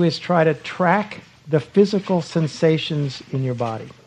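A man's fairly high voice with lively intonation, set against noticeable background noise. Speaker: meditation retreat teacher. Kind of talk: retreat teaching and guided meditation.

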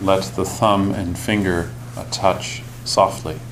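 Over noticeable background noise, a man speaks at a fairly low pitch in a gentle, calm tone. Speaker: meditation teacher. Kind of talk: guided meditation. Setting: silent retreat in meditation hall. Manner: slow, calm, soft-spoken; gentle, deliberate, pausing often.

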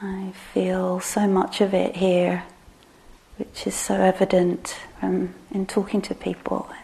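Noticeable background noise sits behind this recording. A woman talks at a very slow pace in a gentle tone. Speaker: meditation teacher. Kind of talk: guided meditation. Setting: meditation hall with live group. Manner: voice drops quiet when guiding; slow, gentle, hesitant.

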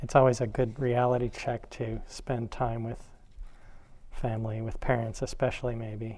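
A man's medium-pitched, dark and mellow voice, monotone and flat, at a moderate pace amid audible room echo. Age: 50s. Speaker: meditation teacher. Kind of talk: dharma talk.

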